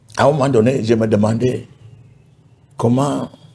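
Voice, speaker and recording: Speaking very slowly, a man uses a medium pitch with fairly even intonation and vocal fry. His tone is dark and mellow. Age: 70s. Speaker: pastor. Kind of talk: testimony. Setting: TV studio.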